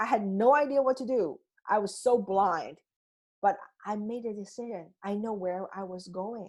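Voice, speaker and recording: Speaking in a Chinese accent, a woman with a medium pitch keeps a moderate pace, with ordinary pitch variation and big swings in loudness. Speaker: life coach. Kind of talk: coaching talk. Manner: halting, with frequent restarts.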